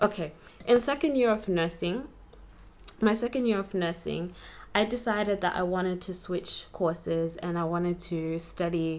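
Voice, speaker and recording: A soft-spoken woman at a medium pitch. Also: ordinary pitch variation. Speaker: vlogger. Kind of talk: personal storytelling vlog. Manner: slow.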